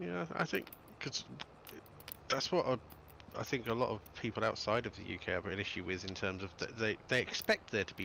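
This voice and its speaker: In a southern English accent, a man talks at a fairly quick pace with a fairly low pitch and ordinary pitch variation. His tone is bright and sharp. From south-east England (Kent, Dover/Deal). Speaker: game streamer co-host. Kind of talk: casual chat. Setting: live stream.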